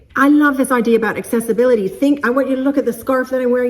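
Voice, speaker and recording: A woman's high, animated voice over noticeable background noise. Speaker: creativity coach and vlogger. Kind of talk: motivational vlog talk. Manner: fast.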